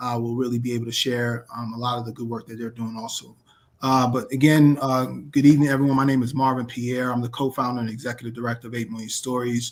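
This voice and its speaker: In a New York accent, the speaker rushes along at a very fast pace with monotone, flat intonation. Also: man, medium pitch for a man. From New York City (South Jamaica, Queens). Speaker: nonprofit executive director. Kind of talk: interview podcast.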